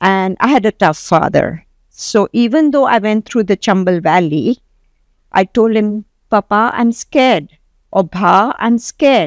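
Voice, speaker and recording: In a very clean recording with a silent background, a woman with a plain, everyday voice talks at a fairly slow pace with lively intonation. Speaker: entrepreneur. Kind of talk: interview.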